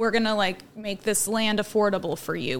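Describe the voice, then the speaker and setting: A woman with an American accent speaks at a moderate pace and medium pitch, in an unremarkable speaking voice. The recording is very clean, with a silent background. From Oregon. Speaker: small urban farmer. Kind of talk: casual chat.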